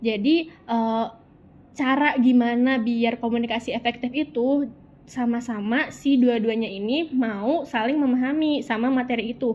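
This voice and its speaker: Her voice is high for a woman, with fairly even intonation and a fairly slow pace. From Sundanese region, West Java, Indonesia. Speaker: university student. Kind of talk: interview. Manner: casual, colloquial Jakarta slang.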